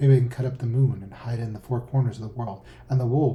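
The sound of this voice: Reading done in an unforced reading voice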